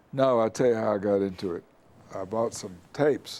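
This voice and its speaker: A man's dark, mellow voice, fairly low in pitch, at a moderate pace. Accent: West Tennessee. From US South. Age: 80s+. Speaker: retired lawyer. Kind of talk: oral history interview.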